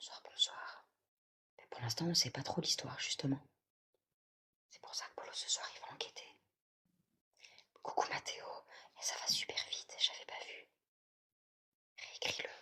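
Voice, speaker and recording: Whispering comes at a fairly slow pace, broken by long, frequent pauses. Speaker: livestream host reading chat. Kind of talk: live stream chat with viewers. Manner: whispering at times.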